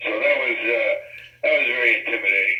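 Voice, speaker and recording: Noticeable background noise sits behind a man whose pitch is extremely high and whose voice is raised and projected. He keeps a moderate pace with monotone, flat intonation. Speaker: sports journalist. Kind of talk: interview. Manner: halting, mumbling.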